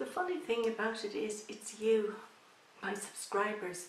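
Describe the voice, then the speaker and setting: A woman speaks at a medium pitch with an Irish accent, keeping a fairly slow pace. Noticeable background noise runs underneath. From Ireland. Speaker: YouTuber. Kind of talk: casual talk to camera.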